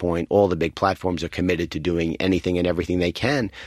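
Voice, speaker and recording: Someone with a New York accent talks very fast with ordinary pitch variation, in a very clean recording with a silent background and a dry, close sound with no echo. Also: man. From New York City. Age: 50s. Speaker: advertising executive. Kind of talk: interview. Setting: studio.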